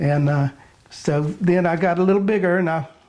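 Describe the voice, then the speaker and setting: A man with a Florida accent at a moderate pace. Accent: Southern US, Florida. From Pine Island, Florida. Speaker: commercial fisherman. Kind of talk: interview answer.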